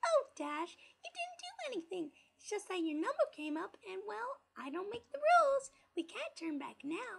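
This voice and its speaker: In a squeaky, put-on character voice, a female-sounding speaker goes extremely high in pitch with very wide pitch swings at a moderate pace. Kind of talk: creepypasta reading. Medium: read story. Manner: gleeful, bouncy, singsong.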